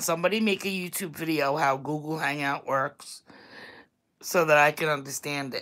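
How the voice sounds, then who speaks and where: With a strong New York accent, a woman talks at a moderate pace with ordinary pitch variation on a very clean recording with a silent background. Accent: thick Staten Island New York. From New York, Staten Island. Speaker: vlogger. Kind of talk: casual livestream chat.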